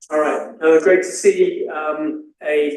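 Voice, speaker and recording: A man speaks with an English accent. There is audible echo from the room. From England. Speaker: scientist lecturer. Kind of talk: lecture.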